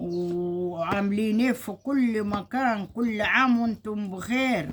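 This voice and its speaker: A somewhat breathy woman with an Egyptian accent, very slow pace, medium pitch and ordinary pitch variation. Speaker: home cooking vlogger. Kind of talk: casual cooking video.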